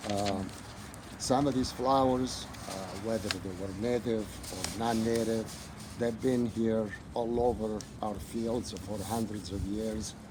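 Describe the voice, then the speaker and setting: At a fairly slow pace, a man with an Italian accent and medium pitch speaks with fairly even intonation, with noticeable background noise and audible room echo. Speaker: butterfly gardener. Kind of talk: interview.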